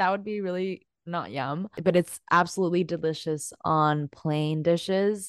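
Speaking in an ordinary speaking voice, a woman goes at a fairly slow pace with hardly any pauses, her fairly low voice even in intonation and the sound dry and close with no echo. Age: 20s. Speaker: podcast co-host. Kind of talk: casual chat.

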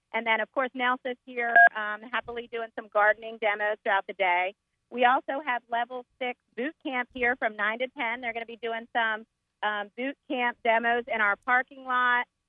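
Moderate-paced speech with fairly even intonation over music in the background. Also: woman, fairly high pitch for a woman. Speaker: market organizer. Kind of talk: promotional interview. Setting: outdoors at market.

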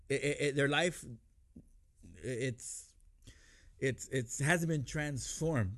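A man with vocal fry and a fairly high voice speaks at a very slow pace with long, frequent pauses, very even loudness and ordinary pitch variation, against a quiet background. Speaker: pastor. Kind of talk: interview conversation about faith. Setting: studio.

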